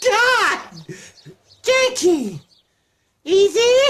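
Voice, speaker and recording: A cartoonish character voice sits at an extremely high pitch with a playful tone. It moves at a very slow pace. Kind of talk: comedy puppet sketch. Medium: puppet. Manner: doting, playful.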